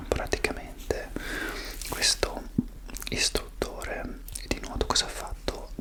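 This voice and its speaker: A man is whispering. Noticeable background noise is present. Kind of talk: ASMR chat. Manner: whispered.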